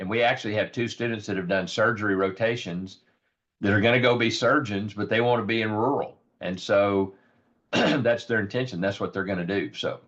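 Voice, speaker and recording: In a put-on character voice, a man with fairly low pitch talks fairly quickly, sounding raspy and hoarse against a quiet background. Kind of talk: professional, explanatory.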